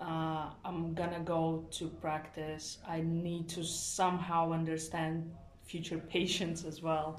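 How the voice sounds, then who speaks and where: Noticeable background noise sits behind a woman's fairly low voice. She speaks at a very slow pace in a flat monotone. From Latvia. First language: Latvian and Russian. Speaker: nursing student. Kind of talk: interview. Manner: halting.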